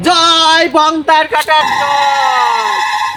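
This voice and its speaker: A put-on character voice pitched high. Loud background noise runs underneath it. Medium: comedy sketch. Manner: panicky, whiny.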